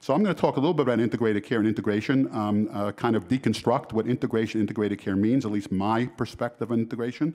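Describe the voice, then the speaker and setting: Talking very fast with hardly any pauses, a man with an American accent keeps a medium pitch, ordinary pitch variation and very even loudness on a very clean recording with a silent background. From New York. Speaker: health care researcher and conference speaker. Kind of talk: conference keynote lecture. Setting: conference hall with audience of about 500. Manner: hesitant, many fillers.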